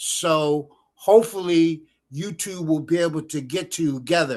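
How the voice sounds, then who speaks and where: Against a quiet background, a man with a fairly high voice speaks fairly slowly with ordinary pitch variation. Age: 60s. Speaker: attendee of online class. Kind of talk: casual chat. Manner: halting.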